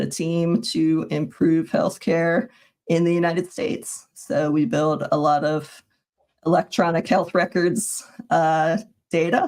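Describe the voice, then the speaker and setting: In an American accent, a woman with an ordinary speaking voice talks fairly slowly at a fairly low pitch. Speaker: software engineering manager. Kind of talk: casual tech livestream chat.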